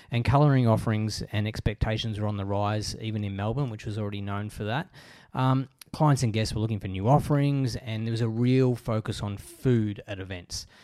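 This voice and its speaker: Fairly quick and fairly even in intonation, a man with an Australian accent speaks at medium pitch in a dark, mellow tone. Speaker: podcast host. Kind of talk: interview; scripted narration.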